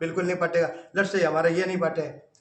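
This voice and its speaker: A man is speaking in a room with audible echo. Noticeable background noise runs beneath his voice. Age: 60s. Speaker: Modi lookalike, complainant. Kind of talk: interview.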